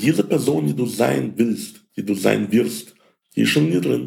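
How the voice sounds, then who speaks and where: Very deep and low, a man's voice shows vocal fry and very wide pitch swings. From Ukraine. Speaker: podcast host, financial sales coach. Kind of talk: monologue podcast. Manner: many filler sounds.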